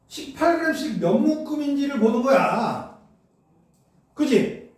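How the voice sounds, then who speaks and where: With an extremely high pitch and lively intonation, a man speaks at a very slow pace amid audible room echo. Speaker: chemistry tutor. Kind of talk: lecture. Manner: casual, animated.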